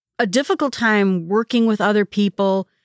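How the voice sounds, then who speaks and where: A woman's plain, everyday voice at a medium pitch and moderate pace, in a very clean recording with a silent background and a dry, close sound with no echo. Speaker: self-improvement podcast host. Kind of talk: solo educational podcast talk.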